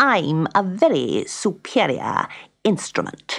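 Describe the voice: In a put-on character voice, the speaker goes at a slow pace with very wide pitch swings, a fairly bright tone, a slightly husky edge, and vocal fry. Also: woman, fairly low pitch for a woman.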